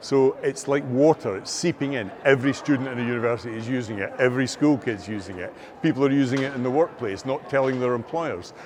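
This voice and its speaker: Over noticeable background noise, a man talks at a very fast pace with a Scottish accent. His pitch varies in an ordinary way. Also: medium pitch for a man, hardly any pauses. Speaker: AI and learning technology expert. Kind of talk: interview. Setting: filmed at a conference.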